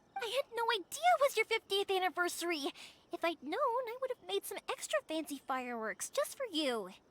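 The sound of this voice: Putting on a character voice, a woman speaks at an extremely high pitch with big pitch swings and a fairly bright tone, at a fairly quick pace, in a dry, close sound with no echo.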